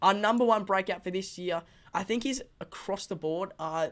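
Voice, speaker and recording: With an Australian accent and ordinary pitch variation, the voice comes through on a very clean recording with a silent background. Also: woman. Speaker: footy fan channel host. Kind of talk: casual vlog commentary. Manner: animated; fast.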